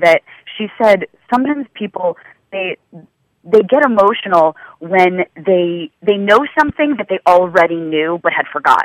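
A woman at medium pitch with lively intonation and a moderate pace, in a dry, close sound with no echo. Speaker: yoga teacher and author. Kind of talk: radio interview. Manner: loud.

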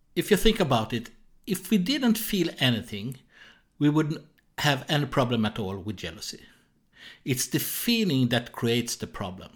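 A man with a Swedish accent speaks at a moderate pace and medium pitch, somewhat breathy, with very wide pitch swings and long, frequent pauses, in a very clean recording with a silent background. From Sweden. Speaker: jealousy therapist. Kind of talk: solo educational podcast. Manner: halting.

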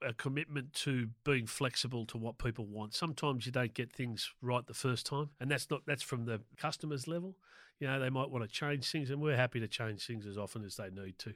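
Hardly pausing, a man with an Australian accent speaks at a fairly quick pace and medium pitch on a very clean recording with a silent background. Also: ordinary pitch variation. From Sydney, Australia (North Shore). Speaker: small business owner. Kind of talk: interview.

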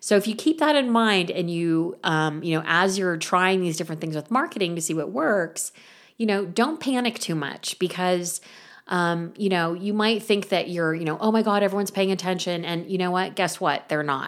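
A woman speaks at a moderate pace in a normal speaking voice, medium in pitch with ordinary variation. The recording is very clean, with a silent background. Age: 50s. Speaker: podcast host and artist coach. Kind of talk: solo talk / monologue.

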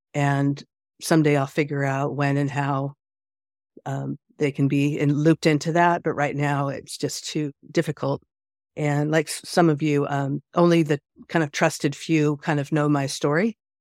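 A woman speaks in a monotone, flat intonation at a very deep, low pitch. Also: moderate pace, dry, close sound with no echo, very clean recording, silent background. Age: 50s. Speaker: pastor. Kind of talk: group conversation.

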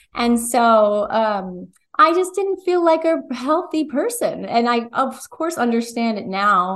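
A woman with an American accent speaks at a fairly slow pace and a fairly high pitch, her voice making very wide pitch swings. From New Jersey. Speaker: holistic nutritionist. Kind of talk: interview.

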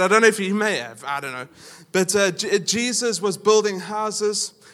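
A man with a South African accent, high-pitched for a man, at a fairly quick pace. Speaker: pastor. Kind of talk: sermon. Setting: church. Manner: casual, humorous.

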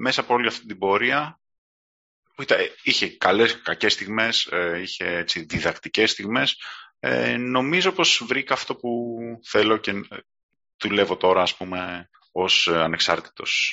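Lively in intonation, a man with a fairly low pitch speaks at a fairly slow pace, leaving long, frequent pauses. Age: 30s. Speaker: marketing automation consultant. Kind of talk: casual interview.

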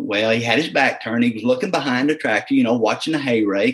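Speaking with a Southern US accent, a man uses a medium pitch. His intonation is lively. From US South, southeast Missouri (Dexter). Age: 40s. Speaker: agricultural pilot. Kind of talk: casual interview.

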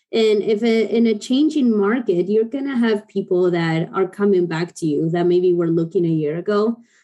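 The voice has a dark, mellow tone and an Argentine accent. It moves at a moderate pace with hardly any pauses. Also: woman, medium pitch for a woman, ordinary pitch variation. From Argentina. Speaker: online sales counselor. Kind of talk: panel discussion.

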